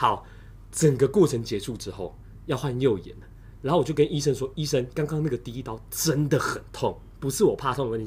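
A man talks at a very fast pace with vocal fry. His voice sits at a medium pitch with ordinary pitch variation. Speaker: podcast host. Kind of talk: casual chat. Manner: animated.

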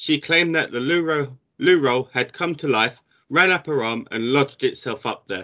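Over a quiet background, a man talks at a moderate pace with a fairly high pitch, a bright, sharp tone and ordinary pitch variation. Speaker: podcast co-host. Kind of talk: casual banter.

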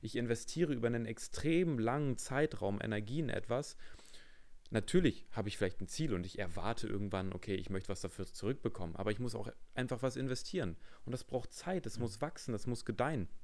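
This is an unremarkable speaking voice, with lively intonation at a fairly quick pace. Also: man, medium pitch for a man. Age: 20s. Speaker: podcast host, fitness studio manager. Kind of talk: casual chat.

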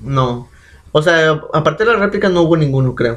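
A man's fairly high, somewhat breathy voice moves along at a moderate tempo. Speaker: podcast co-host. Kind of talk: casual chat.

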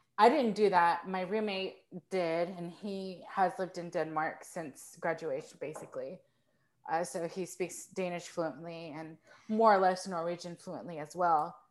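A woman with an American accent has a normal speaking voice, fairly low in pitch with fairly even intonation. She talks at a fairly slow pace, her loudness swinging widely. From Texas. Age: 30s. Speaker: composer. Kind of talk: casual chat. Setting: video call.

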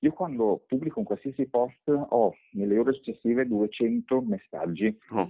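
A man with a normal speaking voice at medium pitch, fairly slow pace with hardly any pauses, lively intonation and very even loudness. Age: 40s. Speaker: personal branding expert and author. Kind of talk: interview.

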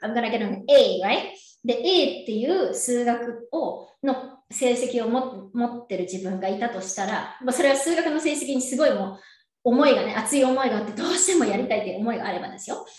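A woman speaks at a moderate pace in a high voice with lively intonation, and room echo is audible. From Japan, Yokohama. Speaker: entrepreneur and coach. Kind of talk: casual interview.

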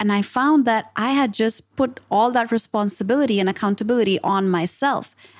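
A normal speaking voice at a moderate pace, with ordinary pitch variation, comes through in a very clean recording with a silent background. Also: woman. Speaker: podcast host and leadership communications coach. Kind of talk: podcast interview.

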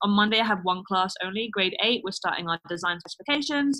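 With a London accent, a woman of medium pitch talks at a very fast pace with lively intonation. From London, England. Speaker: design teacher. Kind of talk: casual interview.

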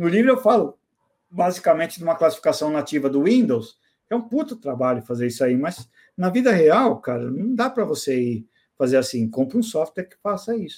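On a very clean recording with a silent background, a man speaks at a fairly quick pace and a high pitch. His pitch swings very widely, and his loudness rises and falls sharply. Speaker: information security specialist and author. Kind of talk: casual chat.

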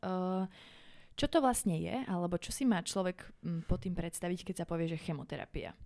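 The woman has a fairly low pitch and a dark, mellow tone. The recording is very clean, with a silent background. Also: ordinary pitch variation, moderate pace. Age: young. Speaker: podcast host. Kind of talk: interview.

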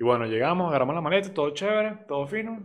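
Very fast in pace, a man's speech swings very widely in pitch. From Venezuela, Barquisimeto. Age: 20s. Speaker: podcast host. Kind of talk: casual monologue.

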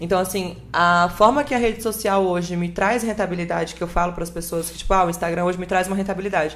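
The words come at a very fast pace with hardly any pauses. Intonation stays fairly even. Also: woman, medium pitch for a woman. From northern Espírito Santo, Brazil. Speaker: content creator and model. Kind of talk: casual podcast interview.

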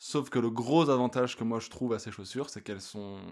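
Recorded very cleanly against a silent background, a man talks at a moderate pace with a medium pitch and ordinary pitch variation. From France. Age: 30s. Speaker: hiker. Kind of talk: casual interview.

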